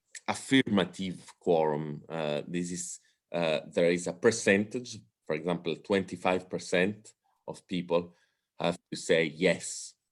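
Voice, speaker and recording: A strong Italian accent at a fairly slow pace, with fairly even intonation. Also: man, very deep, low pitch for a man. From Italy. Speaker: political science professor. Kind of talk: lecture. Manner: halting, many fillers.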